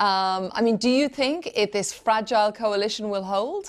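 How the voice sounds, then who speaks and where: Spoken with an Irish accent at a moderate pace, the voice shows ordinary pitch variation on a very clean recording with a silent background. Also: woman. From Ireland. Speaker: news presenter. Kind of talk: news interview.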